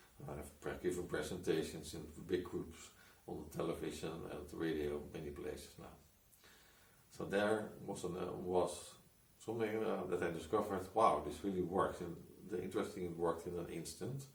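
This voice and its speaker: At a moderate pace, a man speaks with a very deep, low pitch and ordinary pitch variation. Audible room echo and noticeable background noise surround him. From Netherlands. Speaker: hypnotist and coach. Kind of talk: personal story monologue. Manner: halting, many restarts.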